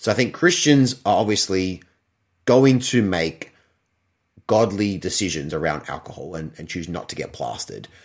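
With an Australian accent, a man talks at a moderate pace and a fairly low pitch, with lively intonation. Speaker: podcast co-host. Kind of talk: casual chat. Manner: animated.

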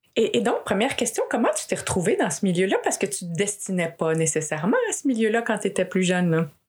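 Somewhat breathy, the voice rushes at a very fast pace with lively intonation and hardly any pauses. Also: woman, medium pitch for a woman. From Quebec. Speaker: podcast host and executive coach. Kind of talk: interview conversation.

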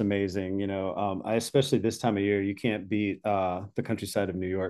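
Here is a man with an ordinary speaking voice. He talks at a fairly quick pace and a fairly low pitch. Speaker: podcast host. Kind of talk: casual podcast conversation.

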